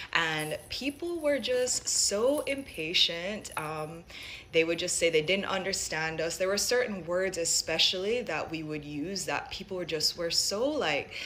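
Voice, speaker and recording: Noticeable background noise behind a woman's medium-pitched voice, fairly slow and with lively intonation. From Jamaica, Saint Mary (rural), moved to US at seven. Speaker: Jamaican immigrant sharing her story. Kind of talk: personal testimony.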